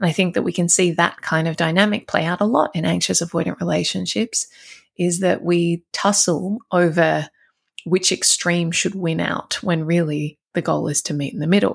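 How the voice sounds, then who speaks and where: Vocal fry runs through this voice at a moderate pace. The recording is very clean, with a silent background. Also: woman, fairly low pitch for a woman. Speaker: relationship coach podcast host. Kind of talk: advice podcast monologue.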